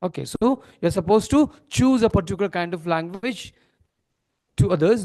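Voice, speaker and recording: A man's high-pitched voice with a dark, mellow tone, an Indian accent, a moderate pace and lively intonation. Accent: Indian English, Telugu-Marathi. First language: Telugu. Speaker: corporate trainer. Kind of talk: training seminar. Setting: seminar hall with audience. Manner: interactive, asks audience questions.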